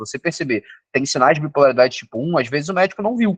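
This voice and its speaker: Lively intonation marks a man speaking at a very fast pace. The sound is dry and close, with no echo. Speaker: psychiatrist. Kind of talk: lecture.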